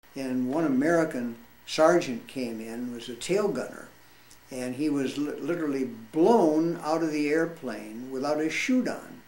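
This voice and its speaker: Audible room echo surrounds this fairly slow delivery with ordinary pitch variation. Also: man, fairly high pitch for a man. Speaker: war veteran. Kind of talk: storytelling. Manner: halting.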